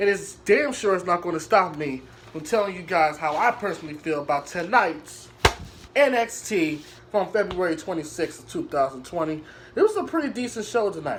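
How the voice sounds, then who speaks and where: A man's animated, high-pitched voice at a fairly quick pace, lively in intonation, over noticeable background noise. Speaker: wrestling show reviewer. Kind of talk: casual video review monologue.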